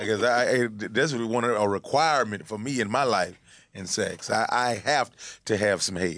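With an Atlanta accent, the speaker keeps a moderate pace and ordinary pitch variation against a quiet background. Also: man, medium pitch for a man. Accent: Southern US, Atlanta. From Atlanta, US South. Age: 30s. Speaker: comedian and internet personality. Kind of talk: casual chat. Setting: studio.

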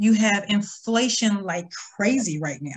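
In an American accent, a woman speaks at a medium pitch with ordinary pitch variation and a somewhat breathy voice. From US Midwest, small town. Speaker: financial coach. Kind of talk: interview.

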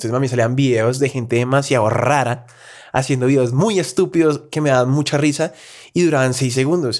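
In a strong Bogotá accent, a man talks at a very fast pace with medium pitch and ordinary pitch variation, recorded very cleanly against a silent background. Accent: strong Bogotá rolo. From Colombia, Bogotá. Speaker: content creator. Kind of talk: casual interview chat.

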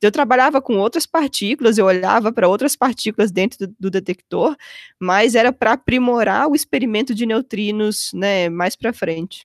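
An unremarkable speaking voice comes from a woman, fairly high in pitch with ordinary pitch variation and a moderate pace. The recording is very clean, with a silent background and a dry, close sound with no echo. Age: 30s. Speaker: physicist. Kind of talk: casual interview.

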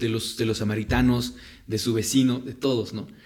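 A man speaks at a moderate pace with fairly even intonation and a medium pitch. He has a plain, everyday voice. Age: 20s. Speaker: Bible podcast co-host. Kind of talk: casual Bible discussion.

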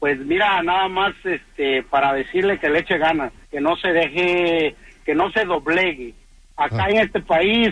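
At a fairly slow pace, a man talks in a high pitch with ordinary pitch variation. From Oaxaca, Mexico. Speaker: radio caller. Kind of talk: call-in chat.

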